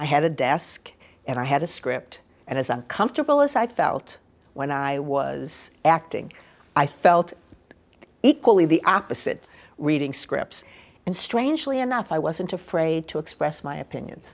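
A woman with a very deep, low pitch and an American accent, at a moderate pace with very wide pitch swings. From US Midwest, Chicago. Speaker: former film studio head. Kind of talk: interview.

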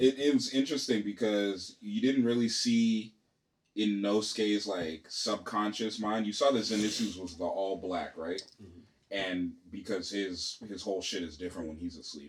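At a moderate pace, a man with a fairly low pitch talks with ordinary pitch variation and big swings in loudness. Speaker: podcast host. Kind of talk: casual chat. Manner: animated.

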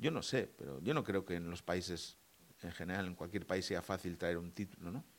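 With a very deep, low pitch, a man talks at a moderate pace and ordinary pitch variation. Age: 40s. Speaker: podcast co-host. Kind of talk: casual political chat.

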